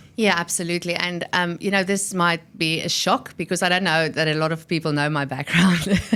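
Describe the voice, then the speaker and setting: Speaking in a South African accent, a woman talks at a fairly quick pace with hardly any pauses, her fairly low pitch paired with a bright, sharp tone. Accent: South African, noticeable. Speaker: technology and innovation executive. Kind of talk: interview. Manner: animated, energetic.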